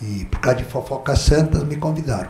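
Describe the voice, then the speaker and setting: Amid audible room echo and noticeable background noise, a man is speaking. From southern Brazil (Rio Grande do Sul). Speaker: pastor. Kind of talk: sermon. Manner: animated.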